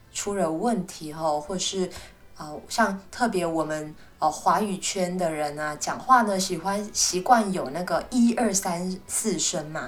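Very slow speech with ordinary pitch variation and audible room echo. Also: woman. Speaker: Chinese language teacher. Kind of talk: language lesson monologue.

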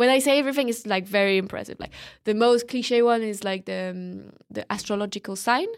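Her fairly high voice moves at a fairly quick pace with fairly even intonation, as a woman speaks on a very clean recording against a silent background. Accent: French. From France. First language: French. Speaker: student. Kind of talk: casual interview conversation.

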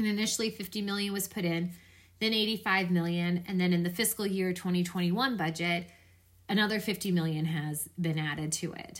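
A woman's normal speaking voice with an American accent, medium pitch, fairly even intonation and a moderate pace. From Florida. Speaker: podcast host, political commentator. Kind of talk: solo commentary.

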